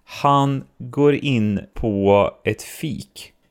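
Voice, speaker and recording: A man's voice with very wide pitch swings. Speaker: podcast host. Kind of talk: casual chat.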